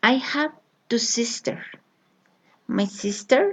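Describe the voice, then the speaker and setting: With a Colombian accent, a woman speaks at a very slow pace. Her voice is fairly high and somewhat breathy. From Colombia, Bogotá. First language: Spanish. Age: 30s. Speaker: language learner. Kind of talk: reading aloud. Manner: halting.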